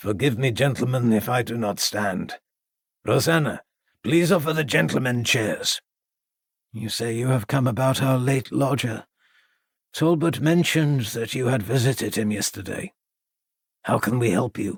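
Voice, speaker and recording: A man's raspy, put-on character voice at medium pitch, with long, frequent pauses. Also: moderate pace, ordinary pitch variation. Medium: read story. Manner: courteous, formal.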